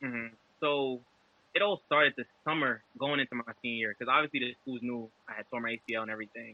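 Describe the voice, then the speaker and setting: A man with a New York accent speaks at a very fast pace, his medium pitch showing ordinary variation. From Brooklyn, New York. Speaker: former college defensive back, football trainer. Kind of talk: podcast interview answer. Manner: casual.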